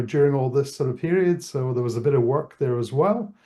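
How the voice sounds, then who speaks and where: A man's somewhat breathy voice with a Scottish accent, fairly high in pitch, dark and mellow in tone, with ordinary pitch variation over a quiet background. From Scotland. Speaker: tech event co-founder. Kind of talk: interview. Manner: casual, many fillers.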